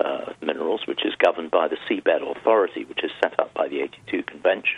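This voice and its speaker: A man speaks with a British accent. Noticeable background noise can be heard. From Europe, UK. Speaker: maritime law expert. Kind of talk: expert interview. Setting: phone call.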